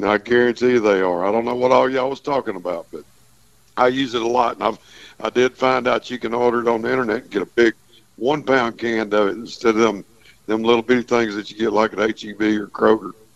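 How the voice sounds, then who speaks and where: Someone with a Texas accent talks at a very fast pace with fairly even intonation. The sound is dry and close, with no echo. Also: man, medium pitch for a man. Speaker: fishing guide. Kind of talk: radio call-in report.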